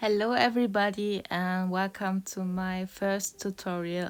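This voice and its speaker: Very slowly, a woman with a German accent speaks at a medium pitch in a monotone, flat intonation. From Germany. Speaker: digital artist. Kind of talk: tutorial voice-over. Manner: halting, many fillers.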